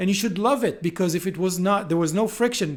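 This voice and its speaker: With an Israeli accent, a man talks at a fairly quick pace in a high voice with ordinary pitch variation. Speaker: podcast host. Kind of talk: casual chat.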